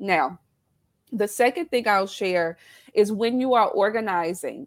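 Very slowly and with lively intonation, a woman speaks in a Southern US accent at a fairly high pitch, on a very clean recording with a silent background. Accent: Southern US twang. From South Carolina. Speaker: business founder, former nurse educator. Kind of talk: casual interview chat.

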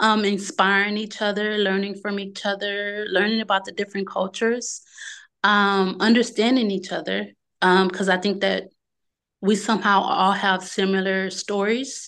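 Against a quiet background, a woman in a Southern US accent speaks at a moderate pace and medium pitch, in a monotone, flat intonation. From Louisiana, small town. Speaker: travel business owner. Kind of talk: interview.

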